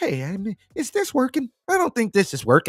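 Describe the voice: This put-on character voice sits at a fairly high pitch and moves at a fairly quick pace.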